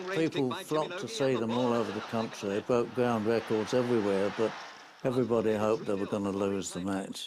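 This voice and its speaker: A man at a medium pitch with ordinary pitch variation, at a fairly quick pace, amid noticeable background noise. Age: 90s. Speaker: football fan and war veteran. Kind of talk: interview reminiscence. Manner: halting, with hesitations.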